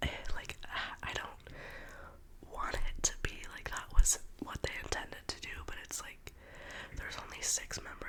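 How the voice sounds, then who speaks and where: Noticeable background noise fills the recording. Through it, a woman whispers at a fairly slow speed. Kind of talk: ASMR whisper gossip ramble. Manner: whispered.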